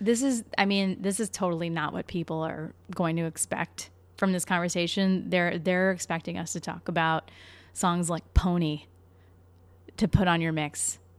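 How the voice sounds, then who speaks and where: A woman's fairly low-pitched voice at a moderate pace, fairly even intonation, on a very clean recording with a silent background. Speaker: host's wife. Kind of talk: casual chat. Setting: home apartment.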